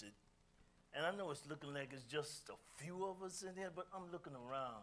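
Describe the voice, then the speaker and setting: Talking at a fairly quick pace with lively intonation, a man is heard amid audible room echo. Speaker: speaker, musician. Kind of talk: talk to audience. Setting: community meeting hall, streamed on Zoom. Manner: loud.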